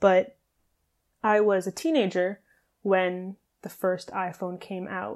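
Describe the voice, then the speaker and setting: A woman of medium pitch speaks at a very slow pace, with long, frequent pauses, ordinary pitch variation and big swings in loudness, in a very clean recording with a silent background. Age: 20s. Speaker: podcast host and fitness coach. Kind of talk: solo podcast monologue.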